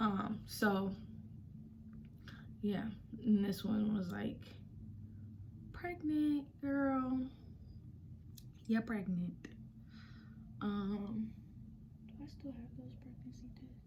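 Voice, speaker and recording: A soft-spoken whisper at a very slow pace, with long, frequent pauses, big swings in loudness and audible room echo. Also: woman. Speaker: vlogger. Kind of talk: casual story time. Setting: at home, quiet room. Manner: soft, near whisper; hesitant, many fillers.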